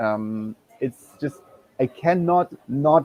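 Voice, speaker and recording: A man's medium-pitched voice with a German accent and ordinary pitch variation. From Germany. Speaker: guest, digital nomad. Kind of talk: live panel chat.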